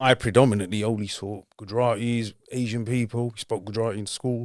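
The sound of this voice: A man with a London accent talks at a fairly quick pace in a fairly low voice, his intonation fairly even and his tone slightly mellow.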